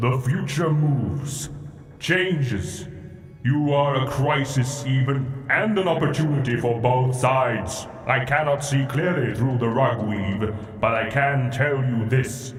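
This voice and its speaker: A man puts on a character voice at a medium pitch and a fairly slow pace. There is clear background noise and a slight echo. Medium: machinima. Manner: cryptic, solemn.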